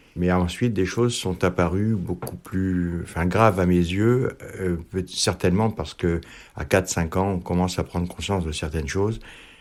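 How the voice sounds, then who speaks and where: A man's very deep, low voice comes through at a moderate tempo, his intonation fairly even, on a very clean recording where the background is silent. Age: 60s. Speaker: interviewee. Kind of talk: testimony. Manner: halting, many hesitations.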